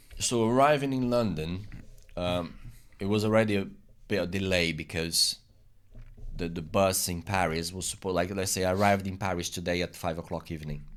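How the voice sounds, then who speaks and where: With a Portuguese accent, a man speaks at a very deep, low pitch with ordinary pitch variation. His pace is fairly quick, though he takes long, frequent pauses. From Brazil. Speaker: immigrant interviewee. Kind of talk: casual interview. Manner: halting, many repetitions.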